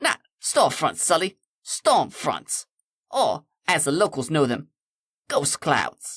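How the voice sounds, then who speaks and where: A man puts on a character voice with a fairly high pitch. He speaks at a fairly slow pace, with long, frequent pauses. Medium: read story. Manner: playful, breezy.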